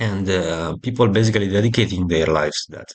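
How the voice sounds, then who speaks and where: A man speaks in a somewhat breathy voice. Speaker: crypto commentator. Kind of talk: explainer with slides. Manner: casual, halting with fillers.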